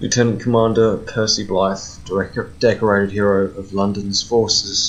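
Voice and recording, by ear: The intonation is fairly even. It is a case of reading aloud in a natural voice.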